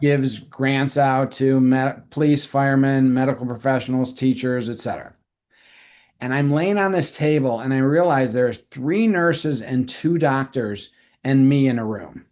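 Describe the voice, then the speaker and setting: Here is an ordinary speaking voice: a man at medium pitch and a moderate pace. His pitch variation is ordinary, over a quiet background. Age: 60s. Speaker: realtor. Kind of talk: interview.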